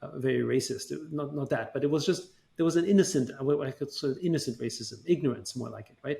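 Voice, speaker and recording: In a German accent, a man talks at a very fast pace with vocal fry and ordinary pitch variation. His loudness swings a lot. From Austria, Vienna. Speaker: tech entrepreneur. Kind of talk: interview. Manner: halting, many fillers.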